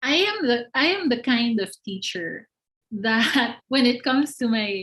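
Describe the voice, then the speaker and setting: The voice belongs to a woman. It carries a somewhat breathy quality. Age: 40s. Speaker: university lecturer. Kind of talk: webinar Q&A. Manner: halting.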